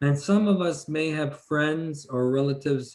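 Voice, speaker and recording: A man's fairly high pitch, fairly slow pace and fairly even intonation in an ordinary speaking voice. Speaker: police officer. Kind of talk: community lecture.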